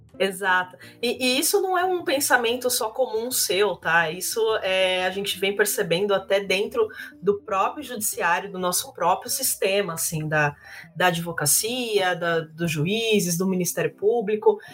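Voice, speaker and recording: A woman talks in a normal speaking voice at a medium pitch. Her pace is fairly slow, and her pitch varies in an ordinary way. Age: 20s. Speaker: lawyer. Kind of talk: casual interview.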